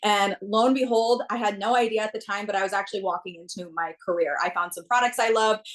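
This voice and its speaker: With a Minnesota accent, a woman talks at a very fast pace in an animated tone with ordinary pitch variation. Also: medium pitch for a woman, hardly any pauses. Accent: Minnesotan. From US Midwest, central Minnesota. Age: 20s. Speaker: network marketer. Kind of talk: testimony.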